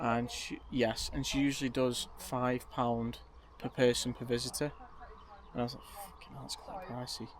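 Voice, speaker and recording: Quietly and at a fairly quick pace, a man with a Potteries accent talks in a relaxed tone. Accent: Potteries (Stoke) English. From Staffordshire, Stoke-on-Trent. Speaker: vlogger. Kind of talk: casual vlog talk to camera. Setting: outdoors at a campsite.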